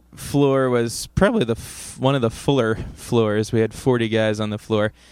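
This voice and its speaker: A plain, everyday voice in an American accent, at a moderate pace with fairly even intonation. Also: man. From Ohio. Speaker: podcast host and musician. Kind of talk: casual chat. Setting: internet call.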